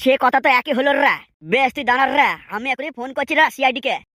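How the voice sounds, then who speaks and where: This is a put-on character voice, high-pitched and drawling. It rattles along at a very fast pace. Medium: cartoon. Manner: drawling, ends lines with 'রে'.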